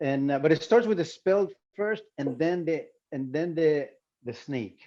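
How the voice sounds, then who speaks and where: This man speaks with a Spanish accent at a fairly high pitch. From Colombia. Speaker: visual artist. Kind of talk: panel talk. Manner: halting.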